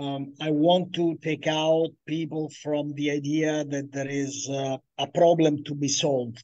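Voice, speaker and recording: Speaking fairly slowly with hardly any pauses, a man uses a fairly high pitch in a dark, mellow tone, his intonation monotone and flat. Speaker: researcher, game designer. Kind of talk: conference Q&A answer. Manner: hesitant.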